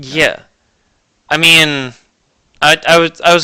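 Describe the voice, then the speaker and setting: A man speaks in a bright, sharp tone. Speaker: podcast co-host. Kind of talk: casual chat. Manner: halting.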